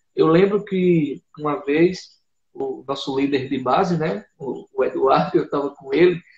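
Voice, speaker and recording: Here a man speaks with a fairly high pitch and ordinary pitch variation. His pace is fairly slow. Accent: Paraíba. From Brazil, Paraíba (Northeast). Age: 20s. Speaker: missionary. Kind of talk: testimony in a live interview. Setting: online live broadcast.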